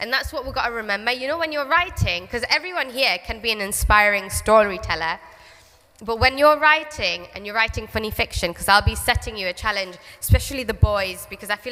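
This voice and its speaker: A woman with a Geordie accent speaks fairly quickly, her fairly high voice moving with lively intonation. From northern England, Newcastle. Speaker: children's author. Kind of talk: school talk to children. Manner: animated.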